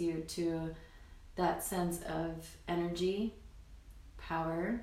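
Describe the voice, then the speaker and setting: A woman's fairly low voice with audible room echo. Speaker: spiritual healer. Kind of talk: guided meditation. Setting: live stream.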